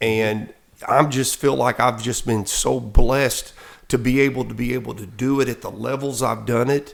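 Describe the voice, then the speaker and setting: With an American accent, a man talks in a medium pitch at a moderate pace, his animated tone carrying vocal fry. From southeast Missouri. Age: 60s. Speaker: basketball coach. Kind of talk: casual interview. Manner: animated, repetitive false starts.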